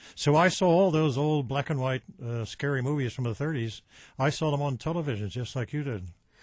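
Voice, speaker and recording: Somewhat breathy, this man's voice sits at a fairly high pitch with ordinary pitch variation. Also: quiet background. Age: 80s+. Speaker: retired TV horror host. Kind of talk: radio interview. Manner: halting.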